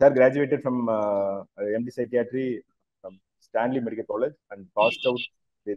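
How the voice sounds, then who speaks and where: Over a quiet background, a man speaks at a moderate pace, the sound dry with no echo. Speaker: webinar moderator. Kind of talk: speaker introduction. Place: home room. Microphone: earbuds.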